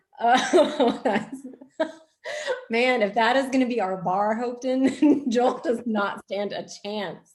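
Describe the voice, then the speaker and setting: Speaking with a Texas accent, a woman goes at a very slow pace with a high pitch. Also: ordinary pitch variation. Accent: Texas twang. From Texas (moved from Pennsylvania at nine). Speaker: fiction author. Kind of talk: casual Q&A at book launch.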